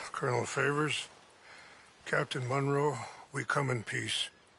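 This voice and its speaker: A man uses a raspy, put-on character voice with flat, monotone intonation. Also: fairly high pitch for a man, moderate pace. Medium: video game.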